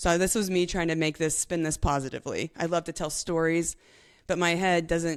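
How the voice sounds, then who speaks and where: A woman speaks at a fairly low pitch in a monotone, flat intonation. The recording is very clean, with a silent background. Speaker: professional cyclist. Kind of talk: interview. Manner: fast; chatty.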